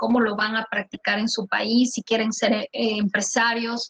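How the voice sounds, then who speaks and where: A woman's fairly high voice at a moderate pace, monotone and flat in intonation, with a dry, close sound and no echo. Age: 40s. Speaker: immigration lawyer. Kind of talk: online conference Q&A.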